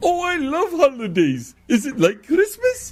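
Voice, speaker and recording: Someone uses a put-on character voice, pitched high and delivered at a moderate pace. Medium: comedy sketch. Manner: naive, cheerful.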